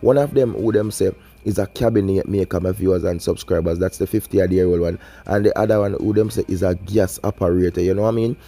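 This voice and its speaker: With a Jamaican accent, a man talks at a very fast pace in an animated tone, his pitch fairly low with ordinary variation. Music plays in the background. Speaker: YouTube crime news commentator. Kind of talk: vlog commentary.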